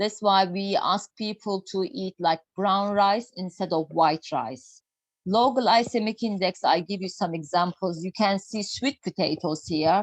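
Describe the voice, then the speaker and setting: A woman with a Turkish accent speaks at a medium pitch and a fairly slow pace. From Turkey. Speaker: health and nutrition speaker. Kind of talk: lecture. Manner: halting.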